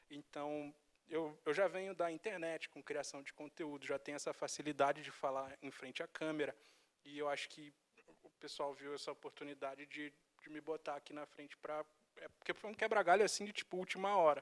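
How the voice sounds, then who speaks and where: With a Rio de Janeiro accent, a man speaks at a fairly quick pace and fairly high pitch, his intonation fairly even, in a dry, close sound with no echo. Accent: carioca. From Rio de Janeiro, Brazil. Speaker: video editor and content creator. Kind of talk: interview.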